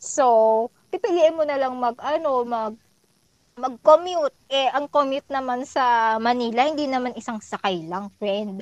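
Lively in intonation, a woman's high-pitched voice moves at a fairly slow pace. The recording is dry and close with no echo. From Philippines, Laguna province. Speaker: podcast guest, office worker. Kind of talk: casual chat. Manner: animated.

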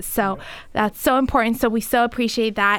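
With an unremarkable speaking voice, a woman talks at a moderate pace and with fairly even intonation over a very clean recording with a silent background. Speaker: nonprofit civic organization host. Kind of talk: interview.

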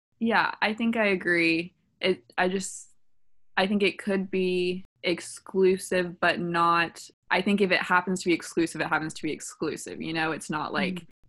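A woman talks at a moderate pace in an ordinary speaking voice, with a medium pitch. Her intonation is fairly even, and the recording is very clean with a silent background. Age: 20s. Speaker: dating podcast co-host. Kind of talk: casual chat.

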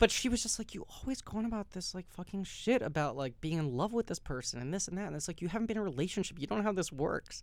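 Very fast speech in an American accent, with very wide pitch swings and hardly any pauses. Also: man, high pitch for a man. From New York City. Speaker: actor. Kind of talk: casual chat.

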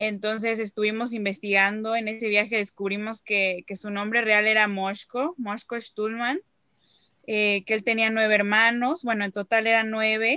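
Against a quiet background with a dry, close sound and no echo, a woman with an unremarkable speaking voice talks at a moderate pace, her pitch fairly high and her intonation fairly even. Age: 20s. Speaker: descendant promoting Holocaust memory. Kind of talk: interview.

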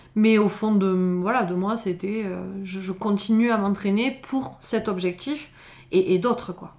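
Speech comes at a very slow pace with fairly even intonation and big swings in loudness, in a very clean recording with a silent background. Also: woman, medium pitch for a woman. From southern France (Pyrénées-Orientales, Font-Romeu). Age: 30s. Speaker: trail runner and mountaineer. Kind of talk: interview. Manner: hesitant, many fillers.

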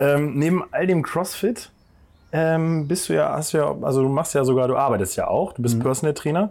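In a normal speaking voice, the speaker goes at a moderate pace with ordinary pitch variation and very even loudness. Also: man, fairly high pitch for a man. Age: 20s. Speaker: podcast host and gym co-owner. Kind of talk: casual interview. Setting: outdoors in a garden.

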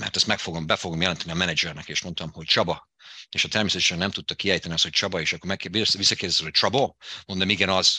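A man with a very deep, low pitch and a bright, sharp tone talks very fast with fairly even intonation. The recording is very clean, with a silent background. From Hungary, Debrecen. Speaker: fitness business owner. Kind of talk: interview. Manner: halting.

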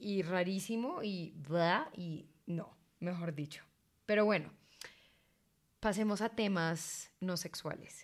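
This woman speaks at a very slow pace with long, frequent pauses. Her medium pitch has ordinary variation. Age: 20s. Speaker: podcast co-host. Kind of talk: casual chat.

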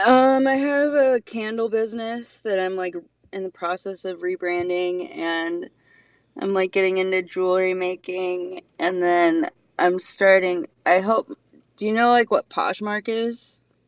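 With a plain, everyday voice, a woman of medium pitch speaks at a fairly slow pace with ordinary pitch variation in a dry, close sound with no echo. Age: 20s. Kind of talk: casual chat. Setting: video call.

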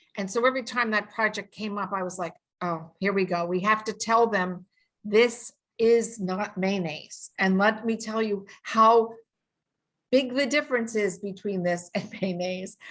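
Against a quiet background, a woman with a New York accent talks at a moderate pace in a medium pitch, her intonation fairly even. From US Northeast, New York City. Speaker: sensory scientist. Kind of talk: interview.

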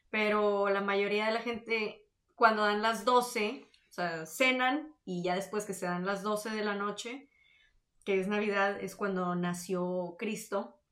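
Speaking very slowly at a medium pitch, a woman with a northern Mexican accent keeps a fairly even intonation. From Mexico, Tamaulipas (Victoria). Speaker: podcast co-host. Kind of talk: casual chat.

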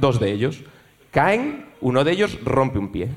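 Over noticeable background noise, a man uses an animated, theatrical tone with very wide pitch swings. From Galicia (Ourense, Vigo). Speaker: audience member telling a story. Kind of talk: comedic storytelling on stage. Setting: stage with live audience.

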